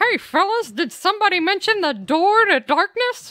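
An extremely high-pitched put-on character voice from a woman, delivered at a moderate pace. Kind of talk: comic overacting. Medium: virtual streamer. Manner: chipper, bouncy.

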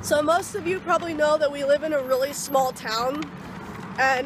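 The sound is dry with no echo, though noticeable background noise comes through. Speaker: vlogger. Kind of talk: casual vlog chat. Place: street. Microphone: phone near.

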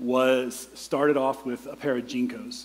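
Light background noise accompanies a man speaking. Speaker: preacher. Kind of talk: sermon. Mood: humorous storytelling. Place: church. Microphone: headset.

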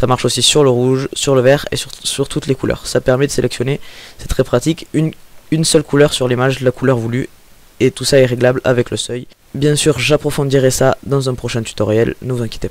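A man with a southern French accent speaks in monotone, flat intonation with a dry sound and no echo. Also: fairly quick pace. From southern France. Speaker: software tutorial maker. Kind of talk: screen-recorded software tutorial. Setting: home microphone with breath pops. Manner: hesitant, many filler sounds.

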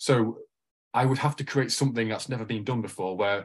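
A man with a Mancunian accent speaks at a fairly low pitch against a quiet background. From Manchester, England. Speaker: lawyer and political candidate. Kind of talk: interview conversation.

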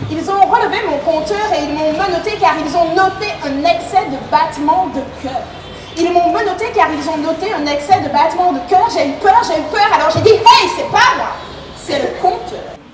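A woman's extremely high pitch with ordinary pitch variation at a fairly slow pace, audible room echo and music in the background. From Martinique. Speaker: slam poet and storyteller. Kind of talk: slam poetry performance. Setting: live stage. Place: tent.

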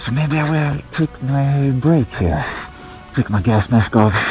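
With a dry sound and no echo, a man speaks at a fairly slow pace as faint music plays in the background. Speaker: outdoor challenge vlogger. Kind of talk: casual vlog chat. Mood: stressed, frustrated when lost. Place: forest. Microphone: phone near.

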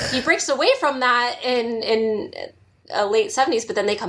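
A woman speaks in a high pitch with a Californian accent. Her tone is animated and her pace moderate. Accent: Californian American English. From Southern California. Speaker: podcast co-host. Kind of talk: casual chat. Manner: animated, laughs often.

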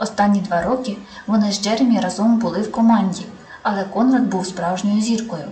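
With fairly even intonation, the reading voice sounds unforced.

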